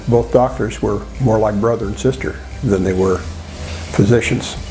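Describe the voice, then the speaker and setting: Music plays in the background behind a man with an American accent. His pitch is fairly low, swinging very widely, at a moderate pace. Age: 70s. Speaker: dental patient. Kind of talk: testimony. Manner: halting, many fillers.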